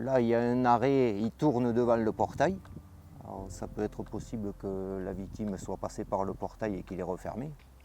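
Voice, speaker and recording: His dark, mellow voice sits at a fairly low pitch for a man, with ordinary pitch variation and a moderate pace. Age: 50s. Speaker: volunteer firefighter and dog handler. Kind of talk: interview testimony and on-site explanation. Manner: hesitant, frequent filler euh.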